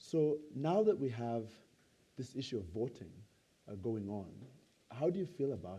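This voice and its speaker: A man speaks at a moderate pace and medium pitch, somewhat breathy, in a dark, mellow tone. His pitch swings very widely, his loudness shifts a lot, and he takes long, frequent pauses. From Uganda. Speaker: nonprofit CEO, moderator. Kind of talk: onstage interview.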